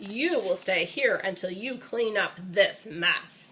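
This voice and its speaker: A woman growls in a put-on character voice at medium pitch, speaking at a fairly slow pace. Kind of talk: bedtime story. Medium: read story. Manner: stern.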